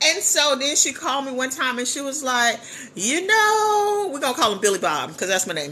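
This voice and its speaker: Raised and projected, this animated voice swings very widely in pitch over noticeable background noise. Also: woman, high pitch for a woman, moderate pace. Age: 50s. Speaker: business coach and livestreamer. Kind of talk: casual livestream storytelling. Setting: live stream.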